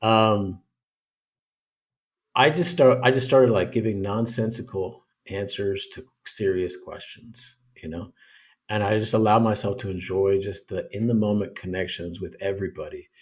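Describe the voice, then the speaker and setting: A somewhat breathy, fairly low male voice with an American accent on a very clean recording with a silent background. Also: ordinary pitch variation, moderate pace, big swings in loudness. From North America. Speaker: men's coach. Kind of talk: podcast interview. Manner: halting.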